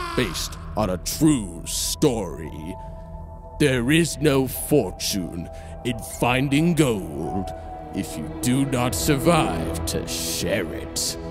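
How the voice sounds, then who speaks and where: A man's fairly low voice at a very slow pace with very wide pitch swings, music in the background. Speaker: voice actor. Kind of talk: movie trailer.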